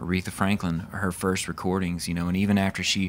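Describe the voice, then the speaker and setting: With a strong Mississippi accent, a man talks at a fairly quick pace in a very deep, low pitch with monotone, flat intonation. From US South, Mississippi. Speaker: country singer. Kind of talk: casual interview. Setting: outdoors at a music festival.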